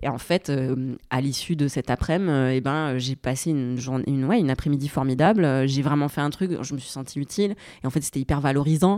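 Her voice is very deep and low, with a dark, mellow tone and ordinary pitch variation at a fairly quick pace. The woman's recording is very clean with a silent background, a dry, close sound with no echo. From southern France. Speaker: YouTuber and urban gardening activist. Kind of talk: casual chat.

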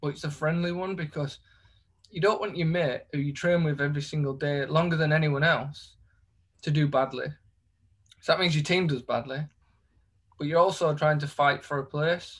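Speaking with a Yorkshire accent, a man with a fairly high voice leaves long, frequent pauses. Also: moderate pace. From Leeds, northern England. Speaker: professional footballer. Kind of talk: casual chat.

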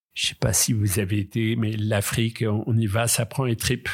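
On a very clean recording with a silent background, a man speaks at medium pitch in a somewhat breathy voice. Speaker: kidnapping survivor. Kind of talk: testimony.

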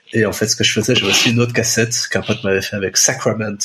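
There is noticeable background noise as a man talks in a Brussels accent. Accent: Brussels Belgian French. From Belgium, Brussels. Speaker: former music reviewer. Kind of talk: casual chat.

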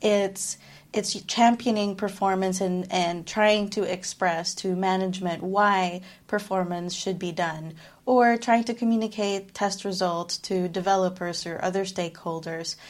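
At a fairly slow pace, a woman speaks in a medium-pitched, monotone, flat voice in a very clean recording with a silent background. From Philippines, raised mostly abroad. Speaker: performance engineer. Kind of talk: interview. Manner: articulate.

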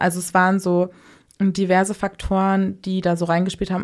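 At a moderate pace, the voice holds a monotone, flat intonation on a very clean recording with a silent background. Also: woman. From Hamburg, northern Germany. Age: 20s. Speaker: podcast producer. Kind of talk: casual interview.

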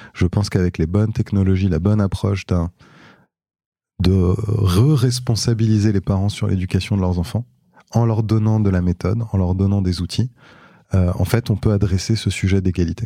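A man with a fairly low, dark, mellow voice speaks at a moderate pace, with fairly even intonation and long, frequent pauses. The recording is very clean with a silent background, dry and close with no echo. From France, Paris. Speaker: tech entrepreneur. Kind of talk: interview conversation.

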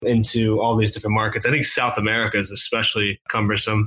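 A man talks at a fairly quick pace in a medium pitch, with an ordinary speaking voice. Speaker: podcast host. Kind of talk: interview, podcast host.

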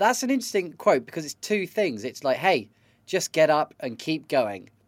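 A man with a British accent speaks with very wide pitch swings. The recording is very clean and dry, close with no echo, over a silent background. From Britain. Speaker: podcast producer and co-host. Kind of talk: casual chat.

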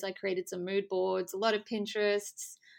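A woman at medium pitch speaks in monotone, flat intonation with an Australian accent on a very clean recording with a silent background. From Australia, Adelaide. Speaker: bride. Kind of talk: interview.

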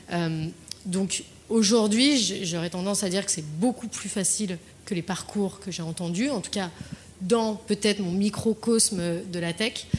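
A woman's medium voice at a fairly slow pace, with ordinary pitch variation and noticeable background noise. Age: 20s. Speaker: client solutions manager. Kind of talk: panel discussion. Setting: dinner debate with audience. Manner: halting.

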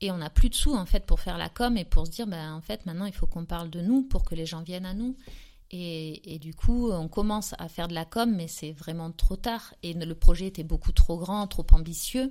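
A woman speaks at a moderate pace in a dark, mellow tone with a fairly low pitch. Her pitch variation is ordinary, while her loudness swings widely. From southern France, near Aix-en-Provence. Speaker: entrepreneur, former schoolteacher. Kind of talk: casual interview.

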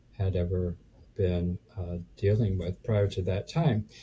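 A man's voice comes through somewhat breathy, in a dark, mellow tone. He speaks at a fairly slow pace. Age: 70s. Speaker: real estate investor. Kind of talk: casual interview chat. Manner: halting, filler words.

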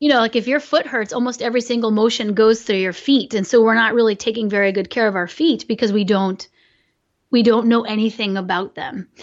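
An unremarkable speaking voice from a woman, fairly high in pitch, at a fairly quick pace with ordinary pitch variation. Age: 40s. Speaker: biomechanist. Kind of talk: interview.

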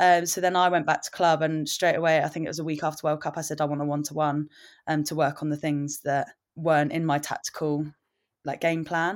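On a very clean recording with a silent background, a woman with a very deep, low voice talks at a fairly quick pace in a monotone, flat intonation. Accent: English. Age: 20s. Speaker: rugby player. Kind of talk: casual chat.

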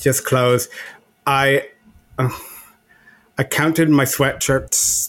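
In an Irish accent, the speaker talks at a very slow pace with long, frequent pauses. The intonation is monotone and flat. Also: man, fairly high pitch for a man. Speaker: podcast co-host. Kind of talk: casual chat. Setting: remote recording.

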